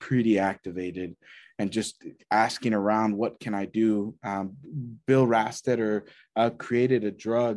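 A man with an American accent has a normal speaking voice at a medium pitch. He talks at a moderate pace against a quiet background. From rural Texas. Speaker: nonprofit executive director. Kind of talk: interview.

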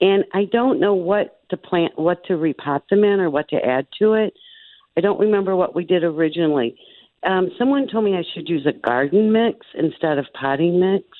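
A plain, everyday voice speaks at a moderate pace. The intonation is lively. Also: woman. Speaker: caller, home gardener. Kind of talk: radio call-in question. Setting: phone call.

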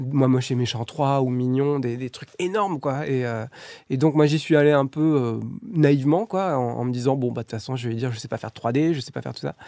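This man has a dark, mellow tone and speaks at a fairly quick pace. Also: medium pitch for a man, ordinary pitch variation, very clean recording, silent background. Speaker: animation film director. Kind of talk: interview.

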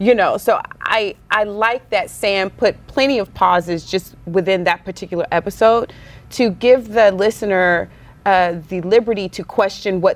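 Her medium pitch moves with ordinary variation as a woman talks at a moderate pace. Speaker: podcast host. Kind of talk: casual chat. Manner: animated.

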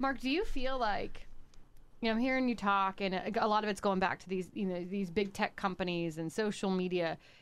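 Speaking in an ordinary speaking voice with an American accent, a woman keeps a medium pitch, ordinary pitch variation and a fairly quick pace. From northwestern Pennsylvania. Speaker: radio host. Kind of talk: interview. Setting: studio.

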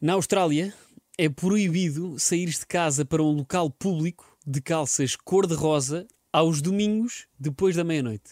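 In a very clean recording with a silent background and a dry, close sound with no echo, a man with a European Portuguese accent talks at a fairly slow pace in a fairly high pitch with ordinary pitch variation. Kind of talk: casual chat.

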